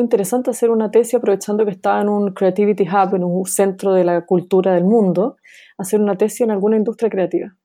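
A woman speaks in a medium pitch with a dark, mellow tone and fairly even intonation. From Chile. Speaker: sociologist. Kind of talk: interview.

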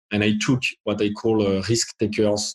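A man speaks with a French accent at a fairly low pitch, somewhat breathy. The sound is dry and close, with no echo. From France. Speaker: tech executive. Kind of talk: panel discussion. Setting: video call.

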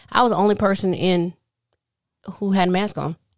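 In a very clean recording with a silent background, a woman speaks at a medium pitch in a monotone, flat intonation. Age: 30s. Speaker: podcast co-host. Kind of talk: casual chat.

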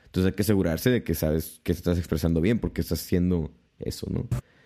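A man with a very deep, low voice and a dark, mellow tone speaks at a fairly quick pace with ordinary pitch variation, on a very clean recording with a silent background. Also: long, frequent pauses. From Mexico, Tijuana. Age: 20s. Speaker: podcast co-host. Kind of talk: casual chat.

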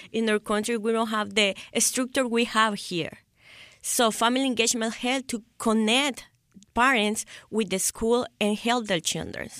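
With a Salvadoran accent, a woman talks at a moderate pace with a fairly high pitch and fairly even intonation. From El Salvador. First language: Spanish. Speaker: school volunteer. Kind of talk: casual interview. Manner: halting.

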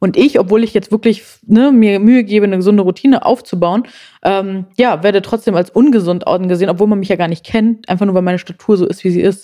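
A woman's dark, mellow tone at a very fast pace, medium in pitch with fairly even intonation, in a very clean recording with a silent background. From Germany. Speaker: plus-size model and body positivity activist. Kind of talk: casual interview chat.

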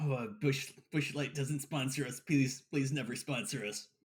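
A loud, raspy, drawling put-on character voice moves along at a moderate pace. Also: man, medium pitch for a man. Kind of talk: comic overacting. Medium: actual play. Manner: loud, drawling, says bro constantly.

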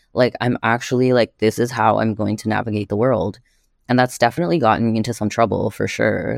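A man's fairly low voice with a Canadian accent and ordinary pitch variation, dry and close with no echo, on a very clean recording with a silent background. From Canada. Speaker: artist. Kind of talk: casual chat. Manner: fast talker.

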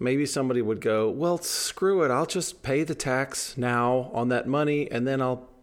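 In a normal speaking voice, a man talks at a fairly slow pace with an American accent. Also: very clean recording, silent background. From United States. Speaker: podcast co-host. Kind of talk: casual chat; storytelling.

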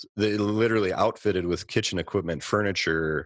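Talking at a fairly quick pace, a man speaks with an American accent. The recording is very clean with a silent background and a dry, close sound with no echo. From Minnesota, Twin Cities. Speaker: restaurant owner. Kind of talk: interview.

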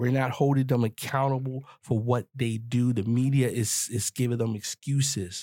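A man at medium pitch with a dark, mellow tone, a moderate pace, very even loudness and hardly any pauses, in a dry, close sound with no echo. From US, grew up in the projects. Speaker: podcast host. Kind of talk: solo commentary monologue. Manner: animated.

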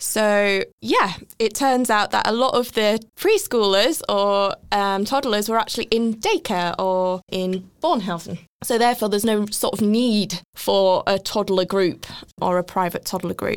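In a very clean recording with a silent background, a woman speaks at medium pitch and a fairly slow pace. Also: ordinary pitch variation, very even loudness. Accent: English. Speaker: former children's nurse. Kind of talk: casual interview.

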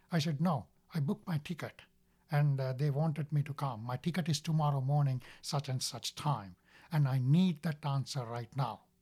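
Somewhat breathy man at a fairly high pitch, on a very clean recording with a silent background. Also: ordinary pitch variation, moderate pace. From Sri Lanka. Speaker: marine operations superintendent at a hospital ship charity. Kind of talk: testimony. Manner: halting.

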